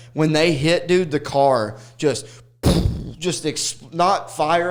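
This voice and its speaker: Over noticeable background noise, a man with a Southern accent speaks very slowly at a fairly high pitch. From Arkansas. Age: 30s. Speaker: stand-up comedian. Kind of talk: casual chat. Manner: animated.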